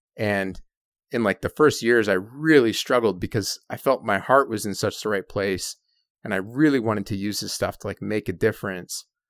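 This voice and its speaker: In a Canadian accent, a man with an ordinary speaking voice talks at a moderate pace and fairly low pitch with ordinary pitch variation, in a very clean, dry, close recording with a silent background and no echo. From Canada. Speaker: adventure filmmaker. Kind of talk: interview conversation.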